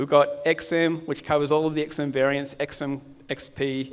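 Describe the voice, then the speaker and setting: Moderate pace and fairly even intonation in an Australian accent. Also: man. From Australia (Melbourne). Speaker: software architect. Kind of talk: conference talk. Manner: casual, with frequent fillers.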